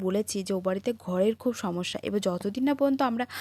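In a very clean recording with a silent background, a woman speaks in a dark, mellow tone with ordinary pitch variation, the sound dry and close with no echo. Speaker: lifestyle vlogger. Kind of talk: vlog. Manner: stutters sometimes; informal, chatty.

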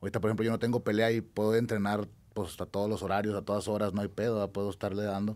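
A man talks very fast in a fairly low voice. His intonation stays flat and monotone. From Mexico, Durango. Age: 30s. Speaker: mixed martial arts fighter; podcast guest. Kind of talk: casual chat. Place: studio. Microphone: studio mic.

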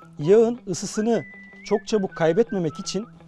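Clear music plays in the background of a dry recording with no echo. A man talks with ordinary pitch variation. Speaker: instructor chef. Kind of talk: cooking tutorial. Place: garden. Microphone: lapel.

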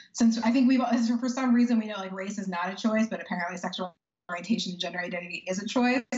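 With audible room echo but a quiet background, a woman of fairly high pitch speaks at a very fast pace with ordinary pitch variation. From Texas. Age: 30s. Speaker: powerlifter and lawyer; lawyer. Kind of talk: interview; interview answer. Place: home room. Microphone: video call.

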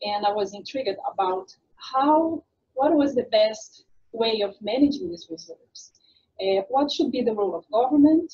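Against a quiet background, a woman speaks in a dark, mellow tone. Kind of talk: lecture. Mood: grateful, honored.

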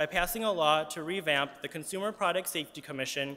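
A man's high-pitched voice has a bright, sharp tone and ordinary pitch variation. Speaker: advocacy group spokesperson. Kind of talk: press conference statement. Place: hall. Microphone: podium.

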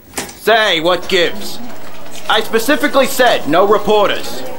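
A man's put-on character voice, high in pitch and bright and sharp in tone, fairly slow, with lively intonation and audible room echo

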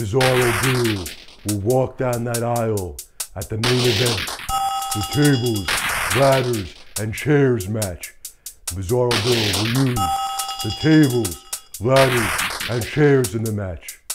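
A man's medium-pitched voice at a fairly slow pace, with long, frequent pauses. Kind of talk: pro wrestling promo. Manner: boastful, shouting, hyped; intense, preacher-like in the closing lines.

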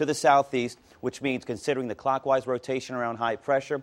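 A man's very fast, monotone delivery with flat intonation. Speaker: TV presenter. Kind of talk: weather forecast presentation. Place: studio.

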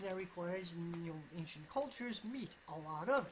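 Over light background noise, a woman with an American accent talks at a fairly quick pace with lively intonation. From US Northeast, Vermont. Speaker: political YouTuber. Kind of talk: solo commentary monologue. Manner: halting, many fillers. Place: home room. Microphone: webcam.

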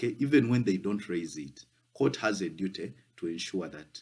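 Speaking at a moderate pace, a man uses a fairly low pitch. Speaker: law tutor. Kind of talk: lecture. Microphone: phone near.

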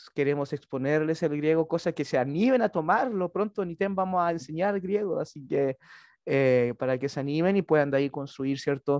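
Against a quiet background, a man speaks at a moderate pace and a fairly high pitch with ordinary pitch variation, the sound dry with no echo. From Chile. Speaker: seminary lecturer. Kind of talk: lecture. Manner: halting, frequent fillers and repetitions. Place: home room. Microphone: headset.

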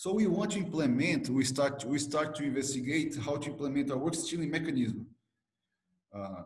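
Recorded with audible room echo, a man talks at a moderate pace with medium pitch, ordinary pitch variation and a slightly mellow tone.

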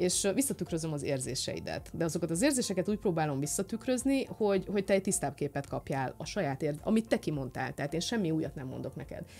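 Speaking at a very fast pace with hardly any pauses, a woman uses a fairly low pitch, a dark, mellow tone and vocal fry, her pitch swinging very widely as faint music plays in the background. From Romania, Satu Mare (Szatmárnémeti); Romania. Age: 30s. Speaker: physicist and influencer; interview guest. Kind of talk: casual chat; interview answer. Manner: halting. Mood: warm, reflective. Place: studio. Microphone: studio mic.

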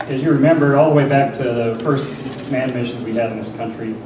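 Noticeable background noise and audible room echo are present. A man speaks with fairly even intonation. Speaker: conference presenter. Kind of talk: lecture. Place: hall.

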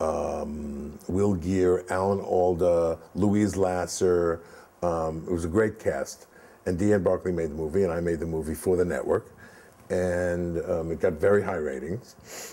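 A man with an American accent talks at a fairly slow pace, his pitch very deep and low and his intonation fairly even. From New York (Brooklyn, Far Rockaway); New York. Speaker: film producer; guest. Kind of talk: interview. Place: home room.

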